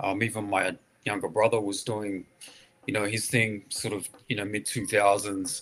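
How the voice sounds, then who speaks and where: With an Australian accent, a man speaks at a fairly low pitch and with fairly even intonation. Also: moderate pace. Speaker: hip hop artist. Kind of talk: interview.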